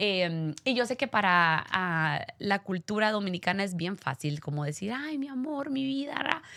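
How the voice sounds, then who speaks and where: A woman of medium pitch speaks at a fairly slow pace with hardly any pauses, her bright, sharp tone marked by very wide pitch swings. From Guatemala, Guatemala City. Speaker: radio host. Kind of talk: interview.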